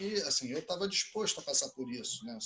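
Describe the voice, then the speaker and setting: This man speaks with lively intonation. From Brazil. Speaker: jiu-jitsu instructor. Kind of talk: casual interview.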